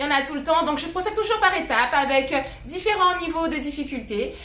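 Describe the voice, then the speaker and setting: A woman speaks in a raised, projected voice at a fairly quick pace with lively intonation. Room echo is audible, along with noticeable background noise. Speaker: fitness coach. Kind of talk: live workout class. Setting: live stream with music.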